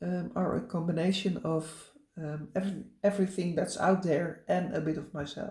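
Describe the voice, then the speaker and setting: A woman speaks with a Dutch accent at a fairly low pitch, in a dark, mellow tone with vocal fry. There is audible room echo. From Netherlands. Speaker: cross-stitch vlogger. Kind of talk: casual chat. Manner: halting, many fillers.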